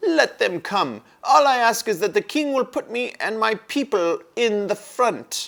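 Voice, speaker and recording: In a shrill, put-on character voice, the speaker moves at a moderate pace with lively intonation. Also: man, extremely high pitch for a man. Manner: bold, eager.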